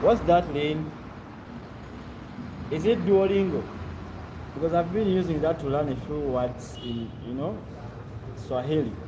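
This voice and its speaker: A man with a Ugandan accent, fairly slow and lively in intonation, with long, frequent pauses, noticeable background noise and audible room echo. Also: fairly high pitch for a man. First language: Luganda. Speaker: livestreamer. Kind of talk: casual chat. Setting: live stream reading chat. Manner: halting, repetitive.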